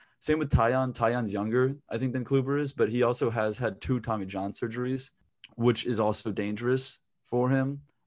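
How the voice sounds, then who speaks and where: A man's plain, everyday voice with an American accent, medium in pitch, fairly even in intonation, at a moderate pace, over a quiet background. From US South (Raleigh, North Carolina). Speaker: podcast co-host. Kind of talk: casual chat.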